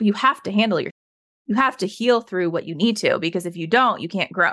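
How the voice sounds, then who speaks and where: In a very clean recording with a silent background, a woman with an American accent uses an ordinary speaking voice at medium pitch with ordinary pitch variation. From Colorado, US. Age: 30s. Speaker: trauma survivor sharing her story. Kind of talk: casual interview conversation.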